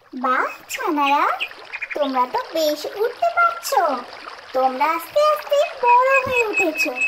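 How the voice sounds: A woman speaks in a squeaky, cartoonish character voice with extremely high pitch and very wide pitch swings, talking very slowly over loud background noise.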